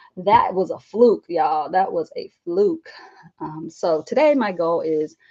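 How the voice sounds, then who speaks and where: Speaking in a Southern US accent, a woman at medium pitch talks at a fairly slow pace with lively intonation. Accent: Southern twang. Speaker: art journaling YouTuber and teacher. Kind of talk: casual live stream vlog. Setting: live stream at home desk. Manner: chatty.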